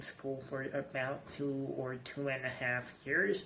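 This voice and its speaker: The delivery is very slow. Audible room echo surrounds the voice. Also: man. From Iran. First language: Persian. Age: 20s. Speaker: English teacher. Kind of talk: personal video message. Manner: halting, many fillers.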